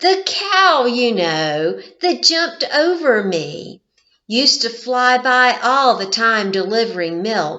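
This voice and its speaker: Using a put-on character voice, a woman speaks in a raised, projected, fairly high-pitched voice at a fairly slow pace with very wide pitch swings. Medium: read story. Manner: drowsy, mishears things.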